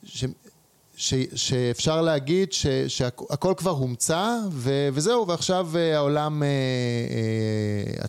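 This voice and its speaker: Noticeable background noise surrounds a man speaking with lively intonation. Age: 40s. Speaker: entrepreneur and investor. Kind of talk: interview.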